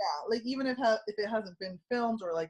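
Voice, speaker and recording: A woman speaks at a moderate pace with a somewhat breathy voice and ordinary pitch variation. The sound is dry and close, with no echo. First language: Spanish. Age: 20s. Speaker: YouTuber and social media marketer. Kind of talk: casual chat.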